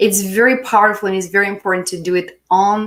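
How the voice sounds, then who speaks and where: A woman speaks in a warm tone at a moderate pace. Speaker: spiritual healing coach. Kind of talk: live-stream self-help talk. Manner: warm, encouraging.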